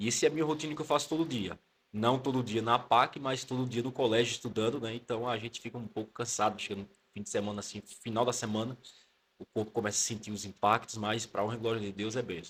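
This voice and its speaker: Speaking at a very fast pace with a Pernambuco accent, a man keeps a medium pitch and fairly even intonation. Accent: Northeastern Brazilian (Pernambuco). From Pernambuco, Brazilian Northeast (Caruaru). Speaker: theology student and pastor. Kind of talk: casual interview chat.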